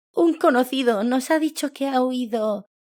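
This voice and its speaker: Soft-spoken, high-pitched put-on character voice. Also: moderate pace. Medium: read story. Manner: timid, hesitant.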